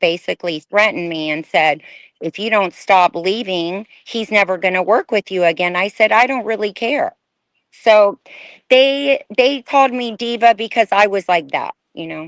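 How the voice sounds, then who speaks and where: In an American accent, a woman speaks at medium pitch and a moderate pace with lively intonation, an ordinary speaking voice heard dry and close with no echo against a quiet background. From Houston, Texas. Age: young. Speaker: former fashion model. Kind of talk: interview testimony.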